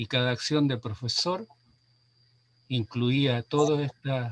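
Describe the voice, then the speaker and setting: A man's medium-pitched voice at a very slow pace, dry and close with no echo. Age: 70s. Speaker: retired rural schoolteacher. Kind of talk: panel discussion. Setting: livestream. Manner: halting.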